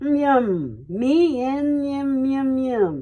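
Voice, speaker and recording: In a put-on character voice, a woman growls at a high pitch. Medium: read story. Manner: growling.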